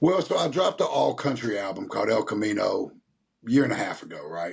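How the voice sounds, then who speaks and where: A man speaks with a Tennessee accent. His pace is very fast. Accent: Southern US (Tennessee). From US South, Nashville. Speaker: rapper and country singer. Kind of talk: interview.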